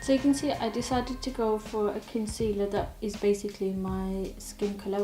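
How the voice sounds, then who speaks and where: A woman speaks at a fairly quick pace with a medium pitch. Noticeable background noise and audible room echo accompany her. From English Midlands. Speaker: beauty YouTuber. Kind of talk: chatty makeup tutorial. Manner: casual, conversational.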